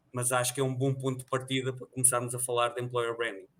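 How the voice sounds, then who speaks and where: In a European Portuguese accent, a man talks at a medium pitch with a bright, sharp tone and monotone, flat intonation. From Portugal. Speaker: employer branding manager. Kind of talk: podcast interview.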